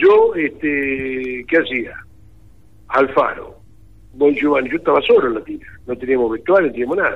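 Pausing long and often, a man talks at a moderate pace. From Argentina, Pergamino. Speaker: sports commentator and journalist. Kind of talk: casual interview. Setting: phone call.

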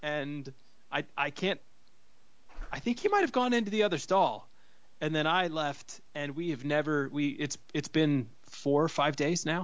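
With an American accent and an unremarkable speaking voice, a man talks at a fairly high pitch. His pace is fairly slow, with ordinary pitch variation. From US Midwest, Cleveland. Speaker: podcast co-host. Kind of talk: casual chat. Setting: phone call.

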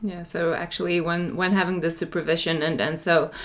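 Speaking at a moderate pace, a woman uses fairly even intonation and a fairly low pitch. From Finland. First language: Finnish. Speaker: general practitioner and podcast host. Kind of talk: interview. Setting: congress venue.

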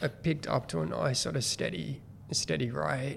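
With an Australian accent, a man talks at a moderate pace in a fairly low pitch that swings very widely. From New South Wales, Australia. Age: 40s. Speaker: guest, former teacher turned business person. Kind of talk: casual interview.

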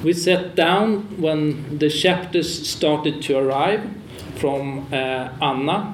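A man's fairly high voice in a Swedish accent, very slow and very even in loudness, with ordinary pitch variation, audible room echo and noticeable background noise. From Sweden. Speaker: publisher and moderator. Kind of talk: panel moderation. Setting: stage with audience.

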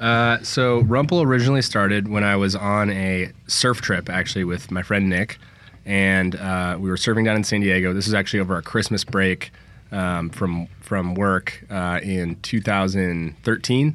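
An unremarkable speaking voice from a man with an American accent, fairly low pitch, fairly even intonation and a moderate pace. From San Francisco, California. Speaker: outdoor gear company founder. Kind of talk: casual chat. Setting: studio.

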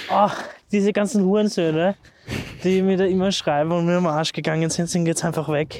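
A man speaks with a high pitch and very even loudness. His pace is fairly quick, broken by long, frequent pauses. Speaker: podcast co-host. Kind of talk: casual chat. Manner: talks very high when excited.

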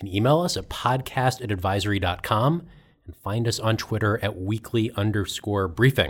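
A somewhat breathy man's voice, fairly low in pitch, at a moderate pace with ordinary pitch variation. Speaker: podcast host. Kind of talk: casual panel discussion.

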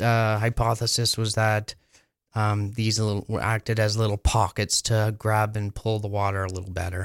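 A man's fairly low voice with a Canadian accent, monotone and flat, at a moderate pace, in a very clean recording with a silent background and a dry, close sound with no echo. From Ontario, Canada (Muskoka area). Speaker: canoe builder. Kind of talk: interview. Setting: studio. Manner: halting, many fillers.

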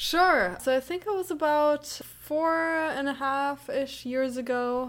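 A high-pitched woman at a very slow pace, with ordinary pitch variation, on a very clean recording with a silent background. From Germany. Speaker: professor of educational psychology. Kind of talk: casual interview.

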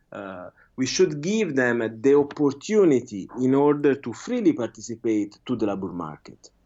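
With an Italian accent, a man talks at a moderate pace and medium pitch, his voice making very wide pitch swings and big swings in loudness. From Italy. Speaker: researcher. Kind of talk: interview. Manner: halting.

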